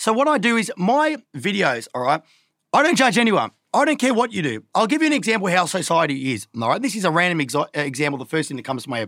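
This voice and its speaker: Very fast and high-pitched, a man speaks with an Australian accent in a bright, sharp tone, his pitch swinging very widely. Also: very clean recording, silent background. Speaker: social media influencer. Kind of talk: casual chat. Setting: studio. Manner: animated.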